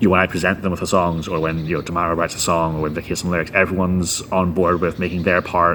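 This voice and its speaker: A man with a Northern Irish accent talks at a very fast pace with hardly any pauses, his very deep, low voice flat and monotone. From Northern Ireland. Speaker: guitarist and band founder. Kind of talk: interview.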